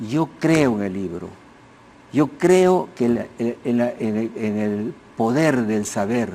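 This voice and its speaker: A man's medium-pitched voice with lively intonation over noticeable background noise. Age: 80s+. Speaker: sociologist and historian. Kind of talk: TV interview. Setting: TV studio. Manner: halting, with many restarts.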